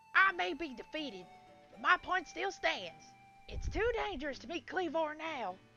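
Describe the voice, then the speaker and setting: A loud, raspy put-on character voice at a high pitch and moderate pace, over clear music in the background. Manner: bombastic.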